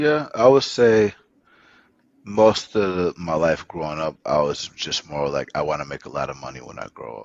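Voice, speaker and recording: With an Atlanta accent, a man talks at a moderate pace in a very deep, low pitch. His voice makes very wide pitch swings and big swings in loudness. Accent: American, Atlanta. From US South, Atlanta. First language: Spanish. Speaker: startup founder. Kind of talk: podcast interview.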